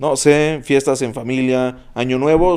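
This man's voice has a dark, mellow tone. His intonation stays fairly even. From Mexico, Uruapan, Michoacán. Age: 20s. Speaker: club DJ. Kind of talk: casual chat.

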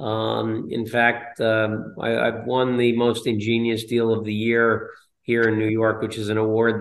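A man with an American accent talks in a monotone, flat intonation, with audible room echo. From northern New Jersey. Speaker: commercial real estate broker. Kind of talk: interview.

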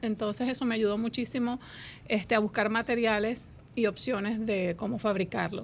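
Using a normal speaking voice, a woman with a fairly high pitch talks at a moderate pace with fairly even intonation. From Colombia, Venezuela and Dominican Republic. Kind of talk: radio interview.

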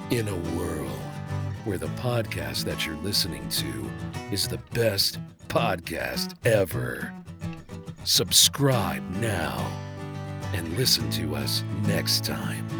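A man talks in a raspy, put-on character voice at a very slow pace. Music plays clearly in the background. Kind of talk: dramatic announcer.

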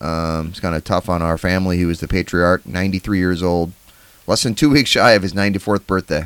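A man with an American accent, very deep and low in pitch, with ordinary pitch variation at a moderate pace, in a dry, close sound with no echo. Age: 40s. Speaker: podcast host. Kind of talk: casual chat.

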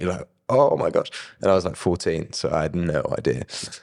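This man speaks with a southern English accent at a moderate pace. The recording is very clean, with a silent background. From southern England. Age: young. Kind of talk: testimony. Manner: animated.

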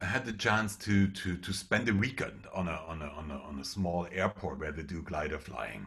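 A man with a German accent talks at a moderate pace with hardly any pauses. His very deep, low voice has vocal fry and lively intonation. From eastern Germany. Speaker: public speaking trainer and pilot. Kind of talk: interview. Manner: halting, many repeated words.

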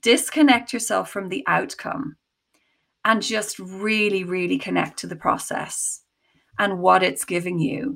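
Over a very clean recording with a silent background, a woman of medium pitch speaks at a fairly slow pace with lively intonation and vocal fry. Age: 40s. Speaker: creative coach and actor. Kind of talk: casual interview chat.

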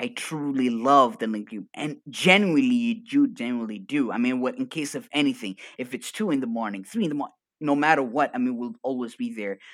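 Animated and energetic, a man talks at a fairly quick pace and a fairly high pitch, with very wide pitch swings. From Arabic-speaking region. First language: Arabic. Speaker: coach. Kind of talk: casual chat. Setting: video call.

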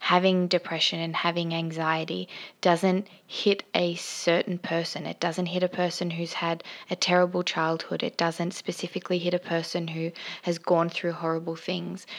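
A woman talks at a moderate pace with an Australian accent. Her pitch is fairly low and her intonation monotone and flat. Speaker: podcast host, mother. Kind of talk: personal monologue on mental health.

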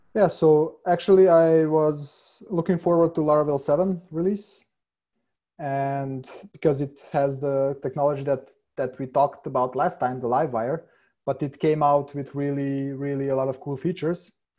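The tone is dark and mellow, at a moderate pace. The background is quiet. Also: man, fairly high pitch for a man. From Hungary/Serbia, lives in Vienna. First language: Hungarian and Serbian. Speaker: senior software developer. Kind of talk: casual interview chat. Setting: remote call.

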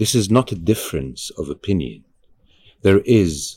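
In an Arabic accent, a man speaks at a moderate pace in a fairly low voice with vocal fry and very wide pitch swings. The recording is very clean with a silent background, dry and close with no echo. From Egypt. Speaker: actor and activist. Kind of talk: interview conversation. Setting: recorded at a conference.

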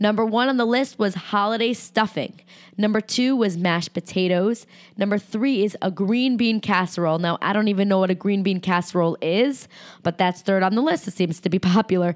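In a very clean recording with a silent background, a woman with an unremarkable speaking voice talks fairly quickly at a medium pitch, with very even loudness and ordinary pitch variation.

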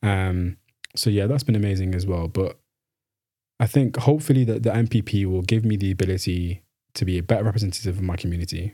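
A man speaks very fast with a Mancunian accent, his pitch fairly low and varying in an ordinary way. His tone is dark and mellow, and somewhat breathy. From northern England, Manchester. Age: 20s. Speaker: graduate student. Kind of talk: interview. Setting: studio.

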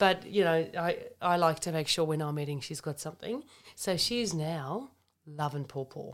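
At a moderate pace, a woman speaks in a fairly low pitch with ordinary pitch variation, on a very clean recording with a silent background. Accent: Australian. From Germany, raised in Australia. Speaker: naturopath and functional medicine practitioner. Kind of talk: casual health chat. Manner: animated.

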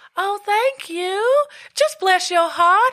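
A woman does a put-on character voice with a Southern US accent. Her pitch sits extremely high. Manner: sweet, gracious.

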